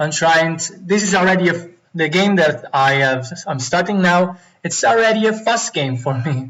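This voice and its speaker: Speaking with an Italian accent, a man uses a high pitch and lively intonation. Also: moderate pace. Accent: non-native English, Italian. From Italy. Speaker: Go player streamer. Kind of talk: live game commentary.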